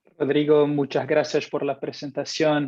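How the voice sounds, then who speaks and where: Speaking with a Brazilian accent, a man talks at a fairly slow pace and a fairly high pitch, with a dry, close sound and no echo. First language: Portuguese (speaking Spanish). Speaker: customer success manager at analytics company. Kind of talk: webinar presentation. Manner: hesitant, frequent fillers.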